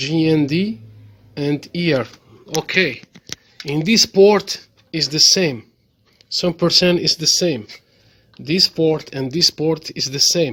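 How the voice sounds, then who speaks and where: Very slow, fairly high-pitched man's speech with ordinary pitch variation and long, frequent pauses. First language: French or Arabic. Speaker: TV repair technician. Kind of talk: tutorial. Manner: halting.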